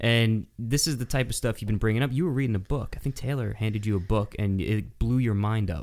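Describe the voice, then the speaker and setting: A man talks at a fairly quick pace with hardly any pauses, his medium pitch showing ordinary pitch variation. His is a plain, everyday voice. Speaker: podcast co-host. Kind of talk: casual banter podcast.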